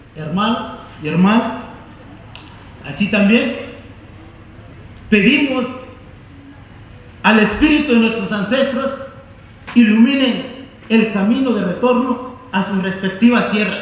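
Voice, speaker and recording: The speech moves at a very slow pace with long, frequent pauses, over noticeable background noise. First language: Nahuatl (speaking Spanish). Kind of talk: formal closing speech. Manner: formal.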